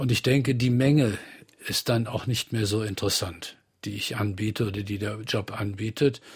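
This man has a fairly low pitch, a somewhat breathy voice and fairly even intonation. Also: moderate pace. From Bonn, Rhineland, Germany. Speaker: art professor. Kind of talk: radio interview. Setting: studio.

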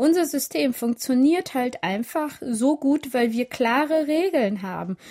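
A woman speaks very slowly yet with hardly any pauses, in a high voice with lively intonation. The sound is dry and close, with no echo. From Siegerland, Germany (arrived from the Balkans at age 7). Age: 30s. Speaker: author and women's rights activist. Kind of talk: radio interview. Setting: remote line from Berlin.

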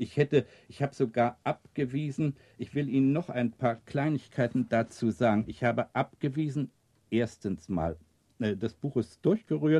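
Dry and close with no echo, this man's voice has a dark, mellow tone at medium pitch. He talks at a moderate pace with ordinary pitch variation. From East Prussia, raised in Berlin. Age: 70s. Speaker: author and magazine editor. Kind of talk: interview with readings of aphorisms. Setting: recorded at his home. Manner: hesitant, many fillers.

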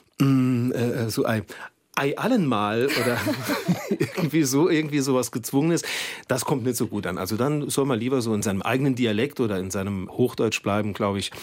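Moderate pace and medium pitch from a man, an unremarkable speaking voice with ordinary pitch variation. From Saarland. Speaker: TV news presenter. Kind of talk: casual studio conversation. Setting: radio studio.

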